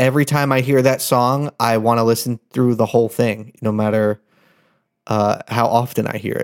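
In a very clean, dry, close recording with no echo and a silent background, a man speaks at a fairly slow pace and medium pitch in a monotone, flat intonation. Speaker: podcast co-host. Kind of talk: casual banter, joking. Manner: jokey, playful.

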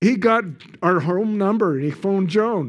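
With a western Canadian accent, a man talks in a lively intonation over a quiet background. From Canada. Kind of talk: sermon. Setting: church with congregation.

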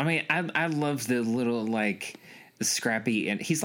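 Lively intonation marks this man's unremarkable speaking voice, pitched at a medium level and paced moderately. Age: 30s. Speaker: podcast co-host. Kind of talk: casual chat.

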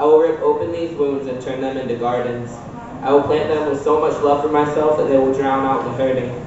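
Delivered at a fairly quick pace with fairly even intonation, the speech carries audible room echo and noticeable background noise. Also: man. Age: 20s. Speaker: slam poet. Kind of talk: spoken word performance. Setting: stage with audience.

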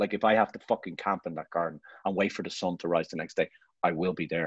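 A man with an Irish accent at a very fast pace, dry and close with no echo, over a quiet background. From Ireland. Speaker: photographer. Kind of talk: casual interview chat.

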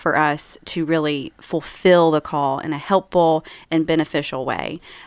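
A woman speaks in a fairly low pitch with an Appalachian accent, keeping a moderate pace. The sound is dry and close with no echo, on a very clean recording with a silent background. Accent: Appalachian American. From rural West Virginia. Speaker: author and church member. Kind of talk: casual interview.

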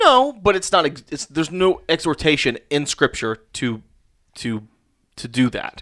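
In a very clean recording with a silent background and a dry, close sound with no echo, a man with a fairly high pitch and a bright, sharp tone speaks playfully at a fairly slow pace, his pitch swinging very widely. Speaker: pastor and board game creator. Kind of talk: casual chat. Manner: joking, playful.

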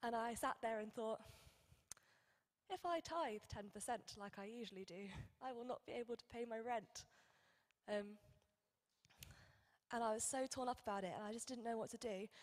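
With a British accent, a woman speaks at a moderate pace and fairly high pitch, with ordinary pitch variation and long, frequent pauses. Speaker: church member giving testimony. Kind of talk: testimony.

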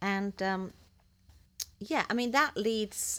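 A woman speaks very slowly at a medium pitch, with an English accent. The recording is very clean, with a silent background. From England. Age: 60s. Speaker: ministry guest, teacher. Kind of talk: casual interview chat. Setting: studio.

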